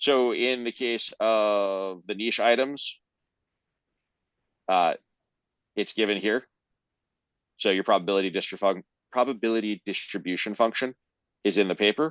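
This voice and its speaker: At a moderate pace broken by long, frequent pauses, a man talks at a fairly low pitch with ordinary pitch variation, the sound dry and close with no echo and the background quiet. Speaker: presenter of a research paper. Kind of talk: technical paper presentation with Q&A. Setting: video call.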